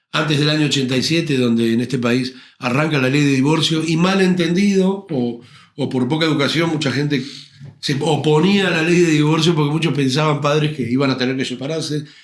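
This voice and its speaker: A man talks at a fairly quick pace. There is audible echo from the room. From Argentina, Buenos Aires conurbano (Avellaneda area). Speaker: tango and rock singer, actor. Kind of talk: interview conversation.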